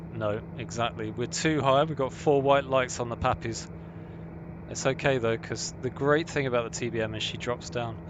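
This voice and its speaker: A man with a London accent talks at a moderate pace in a medium pitch with lively intonation over noticeable background noise. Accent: southern English, London. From southern England, London. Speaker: flight sim streamer. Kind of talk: live gameplay commentary. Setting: live stream. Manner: casual, animated.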